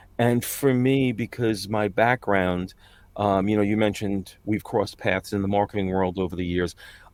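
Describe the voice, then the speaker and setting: With a New York accent, a man speaks at a moderate pace in a fairly low pitch and with fairly even intonation. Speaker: voice-over artist. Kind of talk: interview conversation. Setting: sound booth, remote video call. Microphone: professional recording booth.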